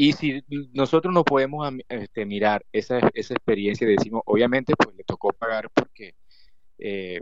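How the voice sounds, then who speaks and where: The sound is dry and close, with no echo. A man with an unremarkable speaking voice talks at a moderate pace with ordinary pitch variation. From Colombia, Cesar region. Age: 30s. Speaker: author. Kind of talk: interview.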